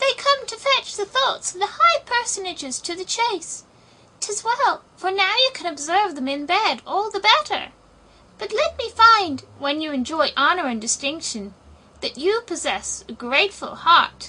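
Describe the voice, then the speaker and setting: A woman's squeaky, put-on character voice, extremely high in pitch with very wide pitch swings, at a moderate pace. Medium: read story. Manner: courtly and formal.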